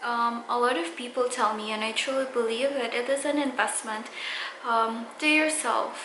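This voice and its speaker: Noticeable background noise and audible room echo accompany a woman speaking at a high pitch with ordinary pitch variation. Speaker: beauty vlogger. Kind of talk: casual vlog talk to camera. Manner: slow; halting, many fillers.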